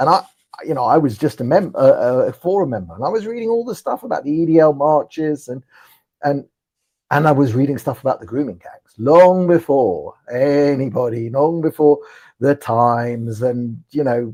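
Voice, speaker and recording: Lively intonation and big swings in loudness mark a man's fairly high voice with a dark, mellow tone. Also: moderate pace. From London (Ealing), England. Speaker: political commentator. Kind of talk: live interview chat. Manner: halting, repeats words.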